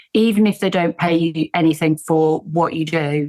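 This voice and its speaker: A woman speaks with an English accent at a very deep, low pitch. The sound is dry and close with no echo, on a very clean recording with a silent background. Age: 60s. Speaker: tech entrepreneur and business coach. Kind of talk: podcast interview.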